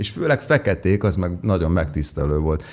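A man with a very deep, low voice, lively intonation and a moderate pace. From Hungary. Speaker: singer-songwriter; guest. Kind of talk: interview. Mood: warm, enthusiastic storytelling. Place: studio. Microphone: studio mic.

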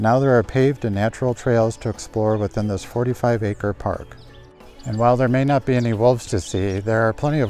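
Faint music plays behind a man talking at a fairly quick pace in a dry sound with no echo. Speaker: nature photography host. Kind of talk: tutorial. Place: open country. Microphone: lapel.

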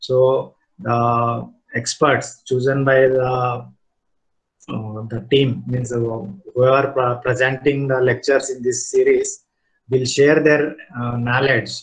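Music plays in the background as a man speaks very slowly at a medium pitch. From India. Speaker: cement industry group manager, chief guest. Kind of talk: formal speech. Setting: online video call. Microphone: video call.

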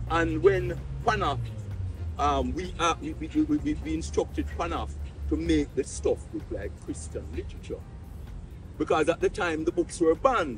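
A man with a Jamaican accent speaks at a moderate pace with long, frequent pauses. The sound is dry with no echo, over noticeable background noise. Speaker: dub poet. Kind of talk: interview answer. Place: street.

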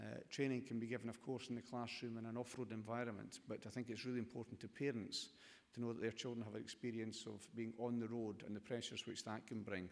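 In a Scottish accent, a man speaks at a very fast pace. His intonation is monotone and flat. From Scotland. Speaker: government minister. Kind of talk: conference speech. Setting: stage with audience. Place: hall. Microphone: podium.

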